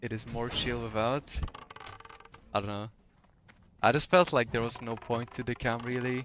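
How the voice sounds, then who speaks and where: Amid noticeable background noise, a man at a medium pitch speaks with fairly even intonation and long, frequent pauses. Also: moderate pace. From Poland. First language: Polish. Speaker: gaming streamer. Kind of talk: casual chat. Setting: live stream. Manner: relaxed, hesitant with fillers.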